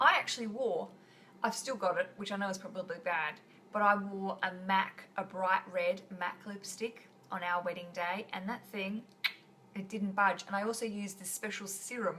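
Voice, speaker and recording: Over noticeable background noise, a woman with an Australian accent speaks at a moderate pace and with fairly even intonation. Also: medium pitch for a woman. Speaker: podcast host. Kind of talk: live stream chat. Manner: casual, chatty.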